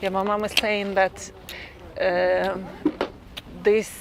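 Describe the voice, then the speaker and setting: Music plays in the background as a woman speaks very slowly in a Russian accent. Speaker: resident. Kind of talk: documentary interview.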